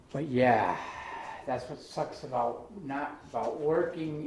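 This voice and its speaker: Very slow speech from a man amid noticeable background noise and audible room echo. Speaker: maker and tinkerer. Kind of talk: casual demonstration video. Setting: workshop. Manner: casual, rambling. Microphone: sound quality problems.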